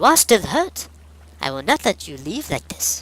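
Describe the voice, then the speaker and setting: A put-on character voice goes along at a moderate pace. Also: man. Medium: read story.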